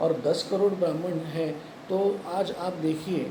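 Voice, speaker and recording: A high-pitched man with a Marathi accent and fairly even intonation, amid audible room echo and noticeable background noise. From Pune, Maharashtra, India. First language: Marathi (speaking Hindi). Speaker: YouTube commentator. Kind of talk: opinion monologue to camera. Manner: halting, many fillers and restarts.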